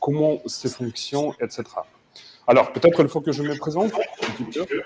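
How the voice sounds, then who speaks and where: A man's voice, with ordinary pitch movement at a moderate speed, comes through noticeable background noise. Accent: non-native. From Ukraine, Mariupol. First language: Ukrainian or Russian (speaking French). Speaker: cloud technology expert, conference speaker. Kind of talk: conference keynote talk. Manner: halting, with frequent hesitations.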